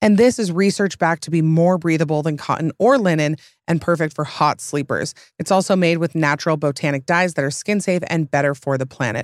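Speaking at a fairly quick pace with a Utah accent, a woman sounds animated at a fairly low pitch. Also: dry, close sound with no echo. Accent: Utah accent, American West. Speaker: podcast host. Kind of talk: casual chat.

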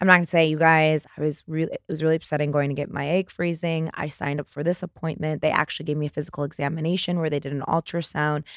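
A woman with an American accent talks at a very fast pace with hardly any pauses, her very deep, low voice animated, in a dry, close sound with no echo. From Indiana. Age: 30s. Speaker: reality TV star. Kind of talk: casual chat.

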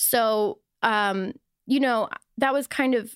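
With an American accent, a woman speaks in an unremarkable speaking voice, fairly high in pitch with ordinary pitch variation. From US Midwest, Wisconsin. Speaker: wellness influencer. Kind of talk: casual chat.

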